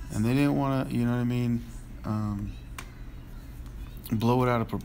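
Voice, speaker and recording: Speaking quietly at a moderate pace, a man uses ordinary pitch variation amid audible room echo. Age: 30s. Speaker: livestream host. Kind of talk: casual live chat. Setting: home livestream at night.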